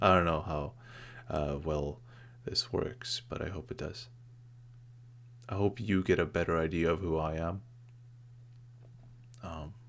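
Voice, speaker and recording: Soft-spoken, a man with a very deep, low pitch talks at a fairly slow pace with ordinary pitch variation and long, frequent pauses. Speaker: YouTuber. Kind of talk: personal vlog monologue. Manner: halting, many fillers.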